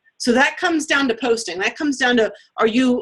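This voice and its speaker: A woman with a high pitch talks at a fairly quick pace. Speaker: fitness coach running team training. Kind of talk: online team training session. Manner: fast.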